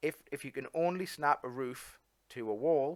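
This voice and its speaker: The speaker is a man. He has an English accent. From England. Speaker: coding tutor. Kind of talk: tutorial. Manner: casual, halting with fillers.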